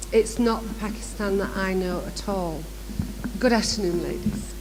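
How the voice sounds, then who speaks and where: With noticeable background noise and audible room echo, a woman speaks in a Manchester accent. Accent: northern English (Manchester area). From northern England, near Manchester. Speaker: education director, workshop speaker. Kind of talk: conference workshop presentation. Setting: conference room with live audience.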